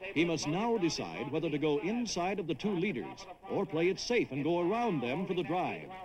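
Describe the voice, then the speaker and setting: A man talks at a high pitch and a fairly quick pace with hardly any pauses. His intonation is lively over noticeable background noise. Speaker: horse race caller. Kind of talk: horse race call.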